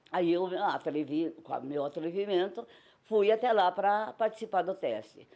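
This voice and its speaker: A woman speaks at a fairly slow pace and medium pitch in a dark, mellow tone. Her intonation is lively, and the background is quiet. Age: old. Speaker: retired circus actress and singer. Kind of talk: documentary interview testimony.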